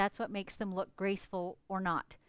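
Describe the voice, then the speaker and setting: A woman with a Canadian accent talks at a moderate pace and a medium pitch, in an ordinary speaking voice. The sound is dry and close, with no echo. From Canada, northern British Columbia. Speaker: quilter. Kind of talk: live stream tutorial and chat. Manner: casual, chatty.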